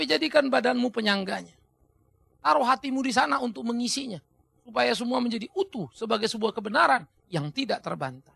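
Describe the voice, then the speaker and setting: A man with an extremely high pitch and a bright, sharp tone speaks at a very fast pace in a raised, projected voice, animated and with very wide pitch swings. The background is quiet and the sound is dry, with no echo. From Indonesia. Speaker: pastor. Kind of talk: sermon. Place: studio. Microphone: lapel.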